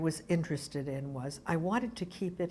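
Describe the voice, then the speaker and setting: A somewhat breathy, fairly low woman's voice with an American accent. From Brooklyn, New York. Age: 80s+. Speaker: arts organization founder. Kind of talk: oral history interview.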